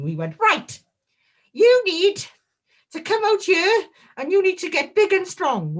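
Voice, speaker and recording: A put-on character voice, extremely high in pitch, moves at a fairly slow pace with long, frequent pauses. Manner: gruff, advising.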